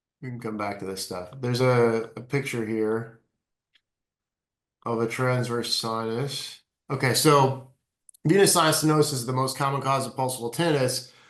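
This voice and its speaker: Medium pitch from a man with ordinary pitch variation, big swings in loudness and long, frequent pauses. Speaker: neurointerventional radiologist. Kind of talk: webinar talk. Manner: fast.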